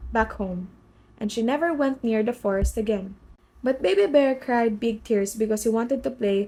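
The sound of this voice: Here is an unforced reading voice. Its pitch variation is ordinary.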